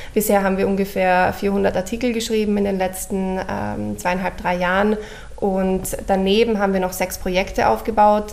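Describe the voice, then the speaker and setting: The delivery comes at a moderate pace with a monotone, flat intonation. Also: woman, medium pitch for a woman. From Austria, Vienna. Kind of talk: radio interview.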